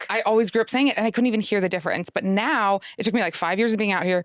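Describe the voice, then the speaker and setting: At a very fast pace and very even loudness, a woman with a Midwestern accent speaks at a fairly high pitch in a dry, close sound with no echo. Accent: flat Midwestern. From Midwest USA.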